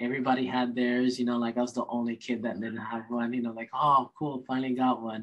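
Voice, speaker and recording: A man at a medium pitch, talking at a very fast pace with hardly any pauses. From Hawaii (Kauai). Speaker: chiropractor. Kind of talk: casual interview chat. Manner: animated, upbeat; hesitant with fillers and repeated words.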